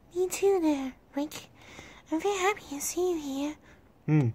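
A squeaky, high, female-sounding put-on character voice carries this clip. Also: moderate pace. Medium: machinima. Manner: polite, cheerful.

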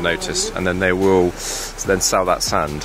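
A man with a very deep, low pitch speaks at a fairly quick pace over noticeable background noise. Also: dry sound with no echo. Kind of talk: casual vlog commentary. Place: forest. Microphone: phone near.

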